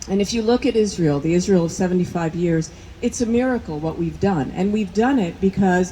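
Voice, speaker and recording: With a New Jersey accent, a woman speaks at a medium pitch with ordinary pitch variation over noticeable background noise. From US Northeast, New Jersey. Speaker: medical school dean, scientist. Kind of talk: rally speech. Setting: outdoor rally with crowd.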